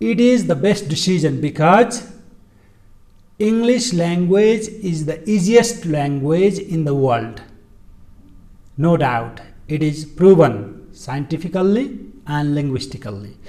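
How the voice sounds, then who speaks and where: Very slowly and with long, frequent pauses, a man with a Nepali accent speaks in a high pitch with very wide pitch swings, amid audible room echo. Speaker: English teacher. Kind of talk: educational talk. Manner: halting, frequent fillers.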